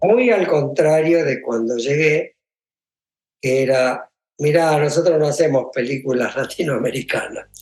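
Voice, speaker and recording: Fairly high pitch for a man, ordinary pitch variation and a fairly slow pace. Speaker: film composer. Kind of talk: interview.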